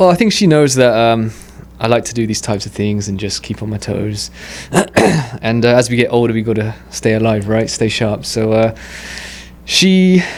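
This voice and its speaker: A man's medium-pitched voice with an English accent, ordinary pitch variation and long, frequent pauses, over noticeable background noise. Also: moderate pace. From England. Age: 30s. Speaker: amateur boxer. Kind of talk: podcast interview.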